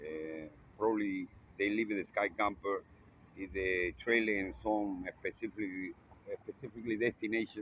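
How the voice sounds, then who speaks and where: A man with a non-native accent speaks at a moderate pace in a fairly low voice, his intonation fairly even and broken by long, frequent pauses. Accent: non-native English speaker. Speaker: vlogger. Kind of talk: casual video monologue. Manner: halting.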